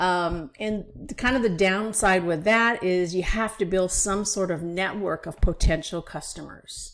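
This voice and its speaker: A woman with a normal speaking voice talks at a fairly slow pace with hardly any pauses, her medium pitch showing ordinary variation, on a very clean recording with a silent background. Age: 60s. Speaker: online business coach. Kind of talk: vlog-style tutorial. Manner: casual, conversational with fillers.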